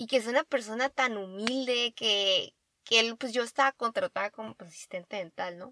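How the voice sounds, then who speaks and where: A woman's bright, sharp tone with ordinary pitch variation, in a dry, close sound with no echo. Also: fairly high pitch for a woman, moderate pace, big swings in loudness. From Baja California, Mexico. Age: 20s. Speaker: dentist and podcast co-host. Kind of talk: casual chat.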